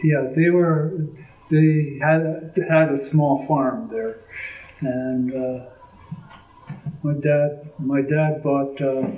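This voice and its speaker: Speaking at a very slow pace with long, frequent pauses, a man with a Canadian accent and a fairly high pitch is heard through noticeable background noise and audible room echo. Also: fairly even intonation. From British Columbia, Canada. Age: 80s+. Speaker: interviewee, elder recounting family history. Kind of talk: oral history interview. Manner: halting, with many fillers.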